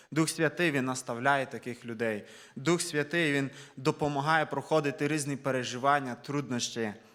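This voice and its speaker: This is a man with an ordinary speaking voice. His pitch is fairly high, and he talks at a moderate pace. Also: fairly even intonation. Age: 20s. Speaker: preacher. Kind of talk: sermon.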